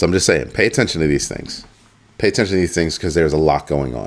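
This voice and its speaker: A man with a very deep, low pitch talks at a very fast pace. Vocal fry runs through his voice, which shows ordinary pitch variation. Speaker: crypto channel host. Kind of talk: livestream talk to viewers.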